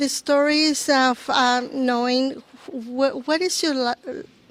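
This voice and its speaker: At a very slow pace, the voice shows ordinary pitch variation in a dry, close sound with no echo. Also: woman. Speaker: church ministry leader and teacher. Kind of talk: podcast interview. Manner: halting, many fillers.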